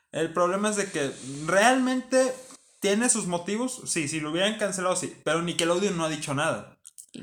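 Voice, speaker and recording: Lively intonation marks a man talking at a moderate pace. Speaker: podcast co-host. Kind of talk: casual chat.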